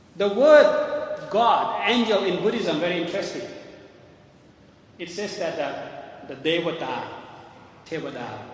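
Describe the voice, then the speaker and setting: Over noticeable background noise and audible room echo, a man with a high pitch and lively intonation talks at a fairly slow pace, with long, frequent pauses and big swings in loudness. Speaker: Buddhist monk teacher. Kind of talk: dharma talk. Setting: room with live audience.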